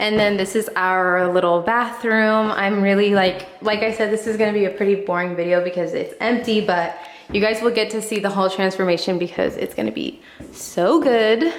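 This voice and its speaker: With audible room echo and noticeable background noise, a woman speaks at a moderate pace in a medium pitch with ordinary pitch variation. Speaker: home decor vlogger. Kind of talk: casual vlog house tour. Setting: empty house, echoey rooms.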